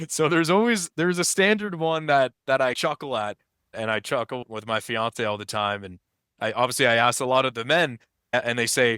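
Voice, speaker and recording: A man with a Canadian accent, medium pitch, lively intonation and a bright, sharp tone at a fairly quick pace, in a dry, close sound with no echo. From Canada. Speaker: filmmaker and historian interviewing veterans. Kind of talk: webinar interview.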